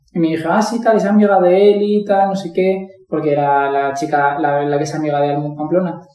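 With audible room echo, a man talks at a fairly quick pace with hardly any pauses, high pitch and ordinary pitch variation. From Valencia, Spain. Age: 20s. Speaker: primary school teacher. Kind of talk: testimony.

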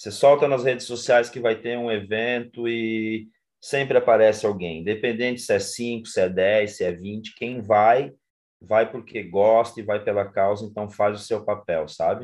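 A man's medium-pitched voice at a fairly slow pace, a plain, everyday voice. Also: fairly even intonation. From Brazil, interior of Paraná. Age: 40s. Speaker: social project coordinator. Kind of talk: interview. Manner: casual, conversational.

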